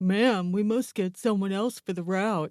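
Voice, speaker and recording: A put-on character voice at a middle pitch moves along at a moderate pace. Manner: muttering.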